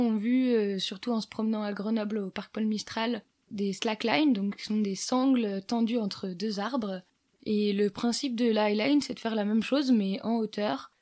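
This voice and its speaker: A woman's fairly high voice with a dark, mellow tone, fairly even intonation, and a moderate pace. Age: 20s. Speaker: electronics engineer and highline instructor. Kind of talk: casual interview. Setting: at the guest's home.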